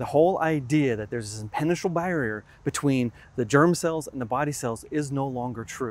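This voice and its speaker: Talking at a fairly quick pace with ordinary pitch variation, a man is recorded with a dry sound and no echo. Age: 50s. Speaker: science educator. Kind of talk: educational talk. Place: open country. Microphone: lapel.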